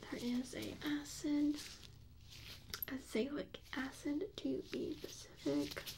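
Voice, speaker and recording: Soft-spoken and calm with a gentle tone, a woman talks at a very slow pace with long, frequent pauses. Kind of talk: ASMR medical roleplay, soft spoken personal attention. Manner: soft-spoken, calm, gentle.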